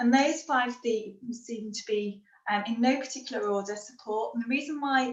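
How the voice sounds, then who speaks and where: A woman speaks with a Liverpool accent at a moderate pace. Her pitch sits fairly high, and her intonation stays fairly even. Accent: Scouse. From Liverpool, northern England. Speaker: happiness and resilience trainer. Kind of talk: webinar talk.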